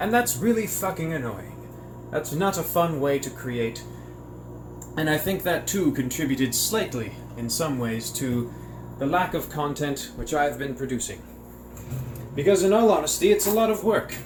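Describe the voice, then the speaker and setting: A man with a British accent talks at a moderate pace, leaving long, frequent pauses. Audible room echo surrounds his voice. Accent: put-on British. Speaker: coin and precious metals YouTuber. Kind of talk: casual vlog rant to camera. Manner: spontaneous unscripted speech.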